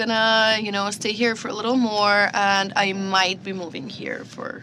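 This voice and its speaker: With a Russian accent, a woman speaks at a moderate pace and a fairly high pitch, with audible room echo around her. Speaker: social media comedian. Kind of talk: podcast interview.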